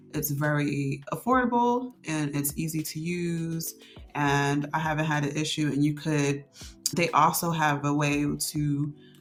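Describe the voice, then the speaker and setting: A woman's very deep, low voice at a fairly slow pace, with music in the background. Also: ordinary pitch variation. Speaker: content creator vlogger. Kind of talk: casual tutorial vlog. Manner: frequent fillers and false starts; slight stutter at times.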